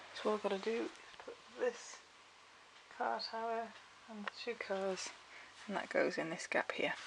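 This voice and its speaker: With a British accent, a woman speaks, leaving long, frequent pauses. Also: moderate pace. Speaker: family vlogger. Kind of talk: casual vlog. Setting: at home.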